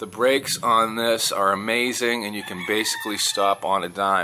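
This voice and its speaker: Light background noise sits behind a man whose fairly low voice keeps a fairly even intonation. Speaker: expat vlogger. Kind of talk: casual vlog chat. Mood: just woke up, hurried. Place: garage. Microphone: phone near.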